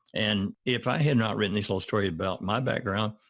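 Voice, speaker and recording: In a Southern US accent, a man with a fairly low pitch and vocal fry talks at a very fast pace with ordinary pitch variation, on a very clean recording with a silent background. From US South, Arkansas. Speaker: retired art professor and children's author. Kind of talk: interview. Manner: halting.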